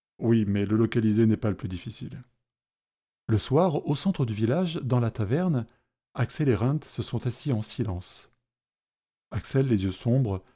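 Ordinary pitch variation in a dark, mellow tone, captured on a very clean recording against a silent background. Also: man. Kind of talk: fantasy audio drama narration with character voices. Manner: measured, dramatic pacing, tense and hushed during the fight scene.

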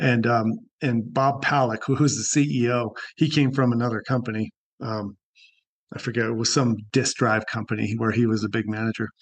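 A man talks in an ordinary speaking voice at a moderate pace. His pitch is medium and his intonation fairly even. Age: 60s. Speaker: life coach. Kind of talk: casual chat.

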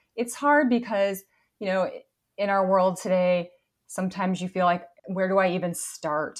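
A woman with a medium pitch speaks at a moderate pace with ordinary pitch variation and long, frequent pauses. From northern Wisconsin, Hayward. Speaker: mortgage company executive. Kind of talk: interview.

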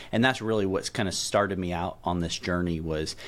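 This man speaks at a fairly quick pace in a very deep, low voice with a Southern US accent and ordinary pitch variation. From middle Tennessee. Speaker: professor of philosophy and ethics. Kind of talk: interview conversation.

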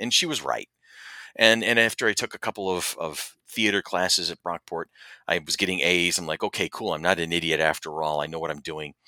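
A man with an American accent talks at a fairly quick pace in a bright, sharp tone. The recording is very clean, dry and close, with no echo and a silent background. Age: 50s. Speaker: podcast co-host. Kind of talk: casual chat.

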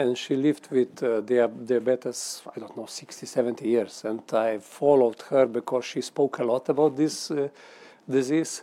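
Speaking with a Slovenian accent at a moderate pace, a man holds a medium pitch and fairly even intonation. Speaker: member of the European Parliament. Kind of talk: panel discussion. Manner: halting.

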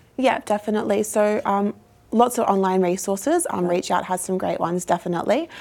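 A woman with an Australian accent talking at a very fast pace with ordinary pitch variation, amid noticeable background noise. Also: medium pitch for a woman. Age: 20s. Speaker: youth mental health ambassador. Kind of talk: interview.

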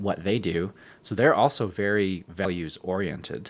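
A man with an unremarkable speaking voice talks at a fairly slow pace in a fairly low pitch. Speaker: podcast co-host. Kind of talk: casual chat.

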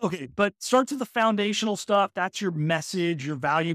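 This is a plain, everyday voice at a moderate pace with ordinary pitch variation. The sound is dry and close with no echo, on a very clean recording with a silent background. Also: man. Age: 40s. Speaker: talent acquisition consultant. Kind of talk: interview.

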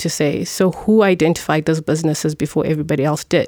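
Over noticeable background noise in a dry, close sound with no echo, a woman with a fairly low pitch speaks at a fairly quick pace with fairly even intonation. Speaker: finance executive. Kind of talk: casual group interview. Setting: studio.

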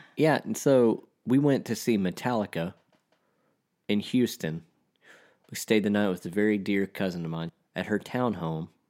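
A man with a Texan accent talks at a moderate pace with ordinary pitch variation and long, frequent pauses. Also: fairly low pitch for a man, very clean recording, silent background. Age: 30s. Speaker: podcast co-host. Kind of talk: casual chat.

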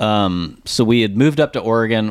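Recorded very cleanly with a silent background, a man with an American accent uses an unremarkable speaking voice at medium pitch with ordinary pitch variation. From Dallas, Texas. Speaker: brand marketing founder. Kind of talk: interview. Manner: casual.

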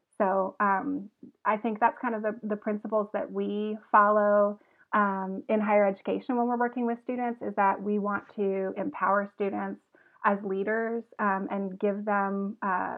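Here is a normal speaking voice with an American accent and fairly even intonation. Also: woman. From US South, Augusta, Georgia. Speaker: university service learning director. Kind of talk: casual interview.

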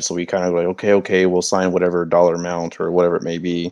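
At a very fast pace, a man talks with a very deep, low pitch. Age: 20s. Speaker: podcast host. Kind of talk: casual chat.

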